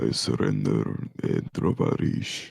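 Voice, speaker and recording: A raspy, put-on character voice from a man in a Russian accent at a fairly slow pace. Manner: surrendering, comic.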